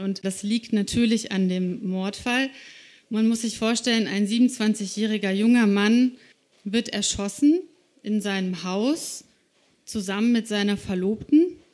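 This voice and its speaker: A woman with a plain, everyday voice speaks fairly slowly at a medium pitch, her intonation fairly even. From Slovakia. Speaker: journalist. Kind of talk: live talk on stage. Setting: stage with audience.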